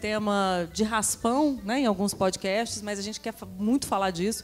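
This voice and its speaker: Music plays in the background as a woman speaks in a fairly high voice. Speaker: podcast host. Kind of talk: live panel talk. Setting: stage with audience.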